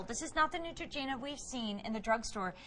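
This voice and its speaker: A woman's ordinary speaking voice, fairly quick in pace, with lively intonation. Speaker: TV shopping host. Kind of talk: TV shopping presentation. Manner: upbeat, effusive.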